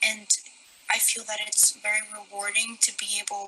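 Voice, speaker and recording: A woman speaking at a fairly slow pace amid noticeable background noise. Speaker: student. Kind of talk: prerecorded testimony.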